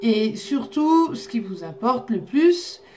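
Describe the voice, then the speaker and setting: Amid noticeable background noise and audible room echo, a woman speaks at a very slow pace with lively intonation. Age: 30s. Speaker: psychic and oracle card reader. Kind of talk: casual monologue to viewers. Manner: authoritative.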